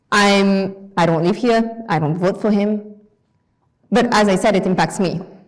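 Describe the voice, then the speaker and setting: In a room with audible echo, a woman speaks at a medium pitch and fairly slow pace, with very even loudness and fairly even intonation. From France. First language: French. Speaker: guest lecturer. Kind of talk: lecture. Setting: lecture hall with audience.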